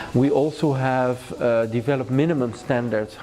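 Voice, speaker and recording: A man with a Dutch accent, medium pitch, ordinary pitch variation and a moderate pace. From Netherlands. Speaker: law professor. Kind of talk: interview. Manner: hesitant, many fillers.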